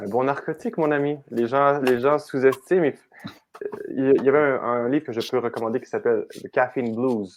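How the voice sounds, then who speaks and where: A man with a Quebec accent speaks at a fairly high pitch with ordinary pitch variation. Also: moderate pace. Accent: Québécois French. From Quebec, Canada. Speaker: coach. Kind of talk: podcast interview answer.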